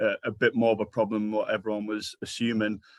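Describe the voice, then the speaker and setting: Against a quiet background, a man talks at a fairly quick pace in a medium pitch with monotone, flat intonation, the sound dry and close with no echo. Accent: slight Geordie. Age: 40s. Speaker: sports charity manager. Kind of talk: conference presentation.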